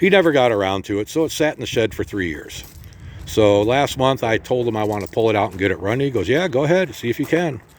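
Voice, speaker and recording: A man in a normal speaking voice, medium in pitch, with lively intonation at a fairly quick pace. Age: 60s. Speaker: motorcycle seller. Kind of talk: casual walk-around sales video. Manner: casual, with many fillers.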